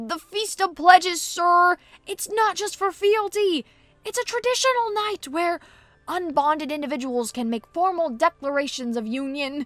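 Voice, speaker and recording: In a put-on, squeaky character voice pitched extremely high, a woman speaks at a moderate pace with very wide pitch swings, the sound dry and close with no echo. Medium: read story. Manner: frantic, stammering.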